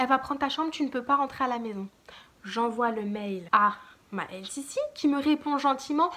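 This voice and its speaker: Her pitch is high and her intonation lively. The speaker is a woman. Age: 20s. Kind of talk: casual storytime talk to camera.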